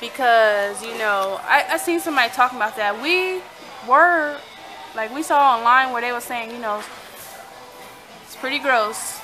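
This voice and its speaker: Over music in the background, a woman with an American accent speaks in a bubbly tone at a high pitch and moderate pace, her intonation lively, her loudness swinging widely and her speech broken by long, frequent pauses. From San Diego, California. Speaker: vlogger. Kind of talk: casual vlog chat. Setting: restaurant. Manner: stutters at times.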